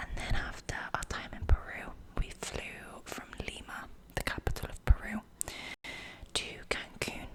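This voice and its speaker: A whispering woman with big swings in loudness, long, frequent pauses and noticeable background noise. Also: fairly slow pace. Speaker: ASMR creator. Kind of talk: whisper ramble ASMR video. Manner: whispered, soft-spoken.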